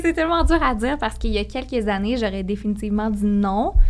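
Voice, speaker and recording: Lively in intonation and fairly quick, a woman talks with vocal fry. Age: 20s. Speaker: podcast co-host guest. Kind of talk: casual chat.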